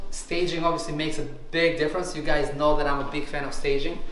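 Amid light background noise and audible room echo, a man speaks at a very fast pace with monotone, flat intonation. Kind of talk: property walkthrough commentary. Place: kitchen. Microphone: phone near.

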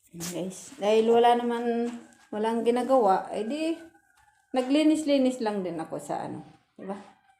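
A woman with a fairly high pitch speaks at a moderate pace with lively intonation and big swings in loudness, and audible room echo surrounds her. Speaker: overseas worker vlogger. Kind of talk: casual vlog. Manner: halting, many fillers.

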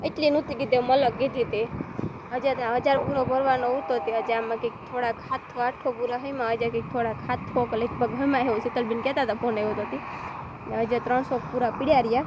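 Noticeable background noise runs under a woman's voice. Her pitch is high and her intonation fairly even. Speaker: village vlogger. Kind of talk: casual vlog narration.

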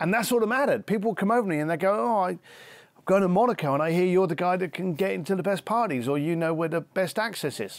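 A man talks at a very fast pace with a high pitch and lively intonation. The sound is dry with no echo, and the background is quiet. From East London, England. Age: 50s. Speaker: luxury concierge entrepreneur and author. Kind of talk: interview conversation. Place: garden.

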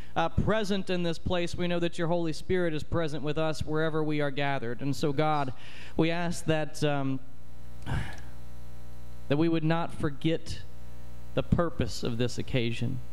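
A man at a moderate pace, with fairly even intonation, very even loudness and long, frequent pauses. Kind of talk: spoken prayer. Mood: reverent, earnest. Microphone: handheld.

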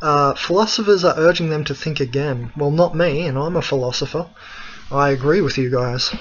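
Fairly quick and with ordinary pitch variation, a man talks with an Australian accent. Light background noise can be heard. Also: fairly high pitch for a man. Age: 20s. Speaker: spiritual philosophy video blogger. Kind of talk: solo monologue talk. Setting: screencast recording. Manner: hesitant with many fillers. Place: home room. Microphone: webcam.

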